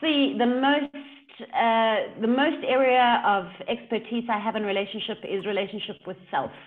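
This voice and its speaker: The speaker talks at a fairly slow pace with a South African accent and ordinary pitch variation. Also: woman. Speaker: leadership coach. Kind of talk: casual interview chat. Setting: video call. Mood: animated, engaged. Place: home room. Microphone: video call.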